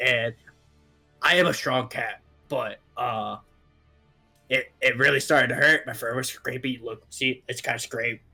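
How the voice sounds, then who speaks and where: A man uses a raspy, put-on character voice at medium pitch, with long, frequent pauses. Faint music plays in the background. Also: moderate pace. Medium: actual play. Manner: rambling, hesitant.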